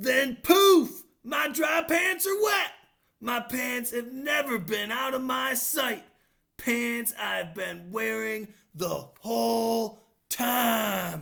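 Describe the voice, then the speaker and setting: Very slow, fairly high-pitched put-on character voice. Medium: read story. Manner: huffy, dramatic.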